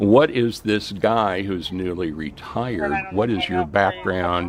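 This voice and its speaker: Noticeable background noise sits behind a man with a fairly low pitch. He talks at a very slow pace with ordinary pitch variation. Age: 60s. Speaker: retirement and crypto channel host. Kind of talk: livestream commentary and personal story. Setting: livestream.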